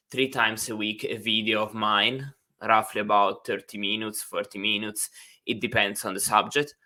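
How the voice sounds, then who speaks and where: In a very clean recording with a silent background, a man with an Italian accent speaks at a fairly low pitch in a bright, sharp tone. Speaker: university instructor. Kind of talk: lecture. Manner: hesitant, many fillers; slow.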